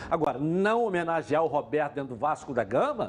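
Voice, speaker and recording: Very fast speech from a man amid noticeable background noise. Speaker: football pundit. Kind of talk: studio panel debate.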